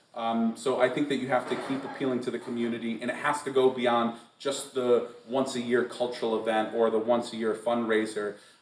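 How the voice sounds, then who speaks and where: Noticeable background noise runs under a man speaking at a fairly quick pace and medium pitch. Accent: American. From US Northeast, western Massachusetts. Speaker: poet. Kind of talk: Q&A session. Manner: animated.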